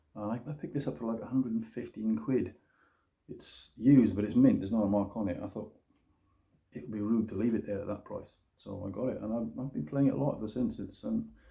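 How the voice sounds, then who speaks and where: Very fast speech in a British accent, with ordinary pitch variation. The tone is dark and mellow, somewhat breathy. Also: man, medium pitch for a man. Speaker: guitar demo youtuber. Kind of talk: casual product review. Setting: home kitchen. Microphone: phone recording.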